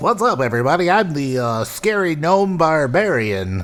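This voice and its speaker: Over clear background noise, a man uses a put-on character voice with a fairly high pitch at a moderate pace. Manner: gruff, growly.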